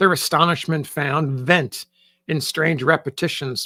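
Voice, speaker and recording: This is a raspy, put-on character voice at a middle pitch. It moves at a moderate pace. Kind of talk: classic short story reading. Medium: read story. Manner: measured, descriptive.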